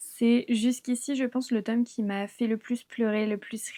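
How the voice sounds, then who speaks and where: Speaking at a fairly slow pace, a woman keeps a fairly high pitch and a monotone, flat intonation. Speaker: book youtuber. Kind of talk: casual vlog commentary. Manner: hesitant, filler-heavy.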